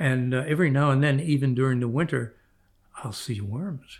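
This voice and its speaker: The speaker has an American accent. The voice is somewhat breathy. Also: man. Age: 90. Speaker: retired orthopedic surgeon and fly fisherman. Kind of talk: storytelling interview.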